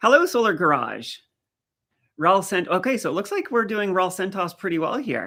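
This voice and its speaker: A raised, projected voice with a bright, sharp tone, lively intonation, and a moderate pace, in a very clean recording with a silent background. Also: man, high pitch for a man. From Maritimes, eastern Canada. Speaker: live streamer. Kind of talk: live stream chat with viewers. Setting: live stream. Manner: casual, conversational.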